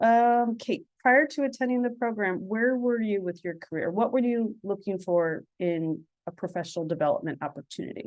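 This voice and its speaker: A woman speaks loudly at a moderate pace, her pitch swinging very widely. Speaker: webinar moderator. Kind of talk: webinar moderation. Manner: speaking louder.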